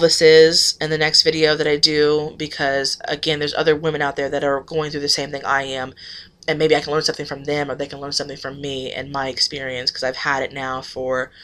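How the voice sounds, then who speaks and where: A woman talks at a fairly quick pace with a very deep, low pitch. Her loudness swings widely. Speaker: vlogger. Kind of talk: casual vlog monologue. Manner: fast.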